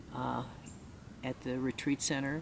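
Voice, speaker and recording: A woman with an American accent speaks fairly slowly at a very deep, low pitch with vocal fry. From US Midwest, Chicago. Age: 60s. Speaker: retreat participant. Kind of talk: testimony. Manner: halting, many fillers.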